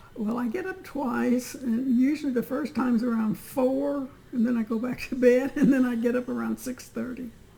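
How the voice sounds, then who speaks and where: With noticeable background noise behind her, a woman with a high pitch speaks at a moderate pace, hardly pausing. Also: ordinary pitch variation. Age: 90s. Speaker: interviewee, great-grandmother. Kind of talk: casual family interview.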